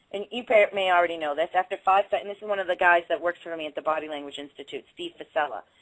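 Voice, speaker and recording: Very fast speech from a woman with a Boston accent, medium pitch, and a dry, close sound with no echo. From Boston area, Waltham. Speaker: body language instructor. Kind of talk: interview.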